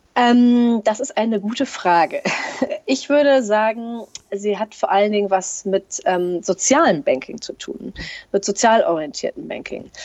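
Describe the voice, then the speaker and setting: A woman with a fairly high pitch speaks at a fairly slow pace with lively intonation and long, frequent pauses. Noticeable background noise runs underneath. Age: 40s. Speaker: bank employee. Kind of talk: interview. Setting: long-distance call. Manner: hesitant with many fillers.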